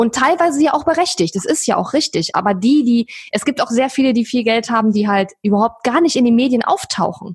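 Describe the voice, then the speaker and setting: Her intonation lively, a woman speaks fairly quickly at a high pitch with hardly any pauses and very even loudness. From eastern Germany. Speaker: online entrepreneur. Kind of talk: interview.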